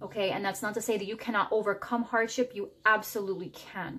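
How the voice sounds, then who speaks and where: A woman speaks with fairly even intonation. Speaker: tarot reader. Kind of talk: tarot reading. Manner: fast; halting, jumbled words.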